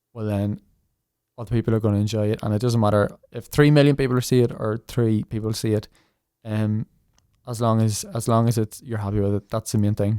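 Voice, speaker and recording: A man with a Northern Irish accent talks at a fairly quick pace, leaving long, frequent pauses, his tone dark and mellow. The recording is very clean with a silent background, dry and close with no echo. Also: medium pitch for a man, fairly even intonation. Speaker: tin whistle player and online creator. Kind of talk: podcast interview.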